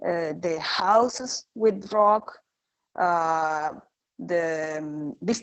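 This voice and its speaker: A woman's fairly low voice in a Spanish accent, very slow, with ordinary pitch variation. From Rapa Nui (Easter Island). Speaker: archaeologist. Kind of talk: online conference talk. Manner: halting, many fillers.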